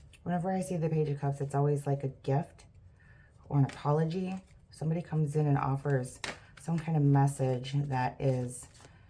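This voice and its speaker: Her voice is very deep and low, somewhat breathy, with a dark, mellow tone, and the woman speaks at a fairly quick pace with fairly even intonation. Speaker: tarot reader. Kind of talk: tarot reading monologue. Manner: stuttering; casual, filler-heavy.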